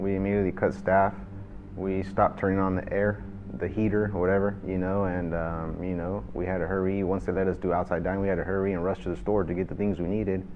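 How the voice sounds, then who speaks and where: A man's very deep, low voice at a very fast pace, monotone and flat, with audible room echo. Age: 30s. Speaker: restaurant manager. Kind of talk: interview testimony. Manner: casual, many fillers.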